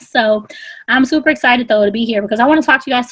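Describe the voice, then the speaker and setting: At a very fast pace, a woman with a fairly high pitch talks over noticeable background noise. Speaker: business trainer. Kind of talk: live webinar training.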